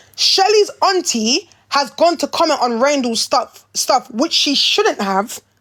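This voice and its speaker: With a London accent, a woman speaks at a fairly slow pace in a high pitch that swings very widely. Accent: London Multicultural English. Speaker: reality TV personality. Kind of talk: casual chat. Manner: loud; animated.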